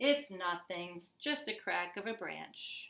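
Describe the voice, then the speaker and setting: A woman's put-on character voice, medium in pitch, at a fairly slow pace. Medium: read story.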